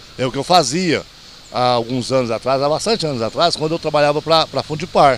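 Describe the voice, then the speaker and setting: Over noticeable background noise, a man talks at a fairly quick pace and fairly high pitch with ordinary pitch variation. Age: 60s. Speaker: truck driver. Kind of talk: street interview.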